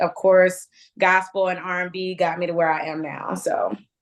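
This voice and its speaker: A woman of medium pitch speaks with an American accent. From Richmond, Virginia. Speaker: R&B singer. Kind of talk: interview.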